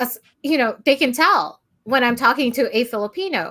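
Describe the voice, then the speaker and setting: The woman's high-pitched voice has a bright, sharp tone and ordinary pitch variation. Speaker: podcast co-host. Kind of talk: casual chat. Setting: live stream.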